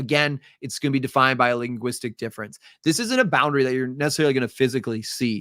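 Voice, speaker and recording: A man with a Midwestern accent speaks very fast at a medium pitch, his tone bright and sharp, in a dry, close sound with no echo on a very clean recording with a silent background. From US Midwest. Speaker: teacher. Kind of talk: live review lecture. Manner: casual, filler-heavy.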